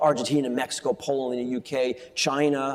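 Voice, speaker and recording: A northeastern American accent comes through over noticeable background noise. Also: man. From US East Coast. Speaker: financial journalist and author. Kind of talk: onstage interview. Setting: conference stage with audience. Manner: fast.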